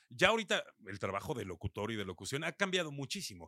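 A man with a Mexico City accent talks at a very fast pace with a medium pitch and a bright, sharp tone, in a very clean recording with a silent background and a dry, close sound with no echo. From Mexico City area, northern zone (Satélite). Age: 40s. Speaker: radio announcer and DJ. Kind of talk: casual interview.

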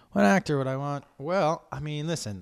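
On a very clean recording with a silent background, a man with an American accent speaks at a moderate pace in an animated tone with lively intonation. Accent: holds on to vowels, sounds Southern at times. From Massachusetts. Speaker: comedian and podcast host. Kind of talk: solo podcast monologue.

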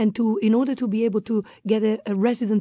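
A woman's dark, mellow tone with an Italian accent, fairly high in pitch and fairly even, at a fairly quick pace, dry and close with no echo. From northern Italy. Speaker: expat guest. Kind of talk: interview.

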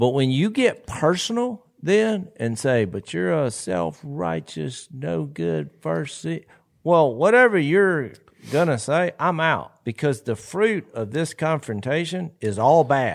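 In a Southern accent, a man with a fairly high pitch speaks at a very slow pace with very wide pitch swings, on a very clean recording with a silent background. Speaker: podcast co-host and preacher. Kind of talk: casual chat.

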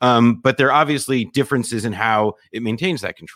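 A man in an ordinary speaking voice talks fairly quickly at medium pitch with ordinary pitch variation, in a very clean, dry, close recording with a silent background and no echo. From US Northeast, suburban New Jersey. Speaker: journalist and podcaster. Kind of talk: casual interview.

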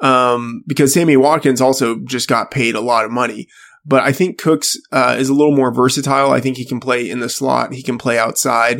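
The man speaks at medium pitch with fairly even intonation. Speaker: fantasy sports editor. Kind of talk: casual sports chat. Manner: low-energy; hesitant, many fillers.

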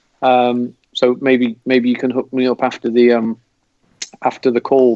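A man's medium-pitched voice with an English accent, in a dry, close sound with no echo. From England. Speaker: football fan. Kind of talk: casual chat.

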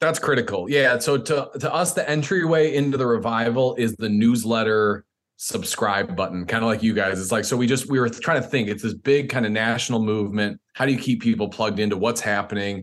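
This man has a normal speaking voice with an American accent, medium pitch and ordinary pitch variation. He talks at a fairly quick pace with hardly any pauses. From Chicago suburbs, US Midwest. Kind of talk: interview.

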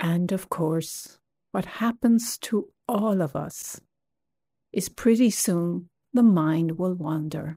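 Very slowly and somewhat breathily, a woman with fairly low pitch, ordinary pitch variation and a gentle, dark, mellow tone speaks on a very clean recording with a silent background. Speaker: meditation guide. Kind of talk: guided meditation. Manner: slow, soft, gentle, calming; unhurried with long pauses.

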